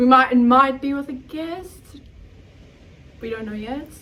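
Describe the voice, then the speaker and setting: Raised and projected, a woman's high-pitched voice moves at a fairly slow pace, with big swings in loudness and ordinary pitch variation. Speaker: podcast co-host. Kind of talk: casual chat.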